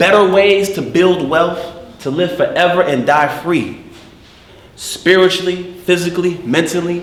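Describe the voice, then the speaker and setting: Against noticeable background noise, a man talks with a high pitch. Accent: American. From New Jersey, USA. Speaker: poet, actor. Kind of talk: spoken word poetry performance. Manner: rhythmic.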